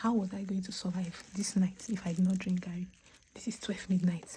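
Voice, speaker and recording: A woman whispering at a fairly quick pace. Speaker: content creator. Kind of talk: casual vlog monologue. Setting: at home at night.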